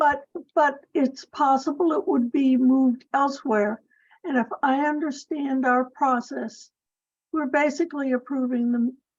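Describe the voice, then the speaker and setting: This woman has a high pitch and an American accent. She speaks at a fairly slow pace, with fairly even intonation and very even loudness. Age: 80s+. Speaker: planning committee member. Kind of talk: public meeting discussion.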